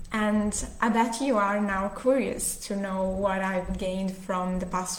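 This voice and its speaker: A woman's medium-pitched voice at a fairly slow pace with fairly even intonation, with audible room echo and noticeable background noise. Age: 20s. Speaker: breath coach. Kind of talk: workshop talk. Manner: halting.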